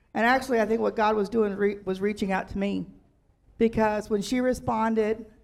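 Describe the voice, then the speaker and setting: With a normal speaking voice, a woman talks at a fairly quick pace in a fairly high pitch, her intonation fairly even. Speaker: church member. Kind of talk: testimony. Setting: church.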